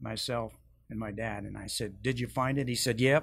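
Speaking at a medium pitch and a moderate pace, a man keeps his intonation fairly even. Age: 60s. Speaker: church member sharing testimony. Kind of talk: testimony.

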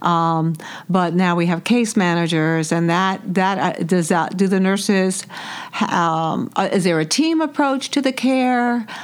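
A woman speaks in an ordinary speaking voice at a medium pitch. Her pace is fairly slow and her loudness very even. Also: lively intonation. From New York City. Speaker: podcast host. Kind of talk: interview.

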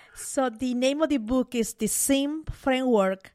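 In a Spanish accent, a woman speaks at a fairly slow pace. Her pitch varies in an ordinary way. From Peru, Mollendo. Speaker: sociologist and business author. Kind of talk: interview.

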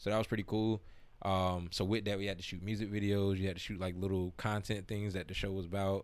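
Very fast and flat in intonation, a man speaks at a fairly low pitch with an American accent. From South Florida (Broward County). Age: 30s. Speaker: hip-hop artist and entrepreneur. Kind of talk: casual interview chat.

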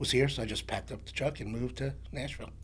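A man with a New York accent, with audible room echo around his voice. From New York, the Bronx. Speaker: songwriter. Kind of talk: casual chat.

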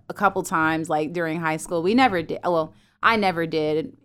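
The speaker has an American accent and a normal speaking voice with ordinary pitch variation. The recording is very clean, with a silent background. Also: woman. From US South, Fayetteville, North Carolina. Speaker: photographer and content producer. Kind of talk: interview. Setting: studio.

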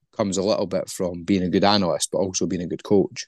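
The speaker, with a Scottish accent, talks at a fairly quick pace with monotone, flat intonation. The background is quiet. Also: man. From Scotland. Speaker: football analyst and recruitment specialist. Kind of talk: interview, casual chat.

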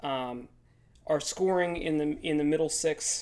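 This is a man's voice. It sits fairly high in pitch. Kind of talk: casual chat.

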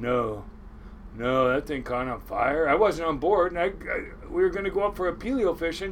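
Over noticeable background noise, a man with an American accent speaks in a high voice whose pitch swings very widely. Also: moderate pace. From Washington State (Kent). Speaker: commercial crab fisherman. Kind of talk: casual storytelling interview. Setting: on a boat.

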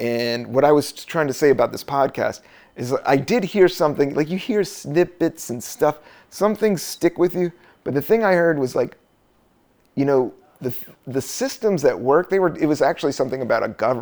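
In a very clean recording with a silent background, a man with an unremarkable speaking voice and a fairly high pitch talks at a moderate pace. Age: 40s. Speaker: podcast host and comedian. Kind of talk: casual solo monologue. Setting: home recording, raining outside. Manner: relaxed, rambling with fillers.

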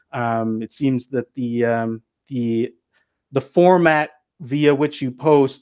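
A man with an ordinary speaking voice and fairly even intonation, dry and close with no echo over a quiet background. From US Pacific Northwest. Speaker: cannabis media entrepreneur. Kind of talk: podcast interview.

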